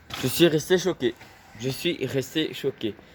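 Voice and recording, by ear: A man speaks at a medium pitch. His pace is moderate, with ordinary pitch variation.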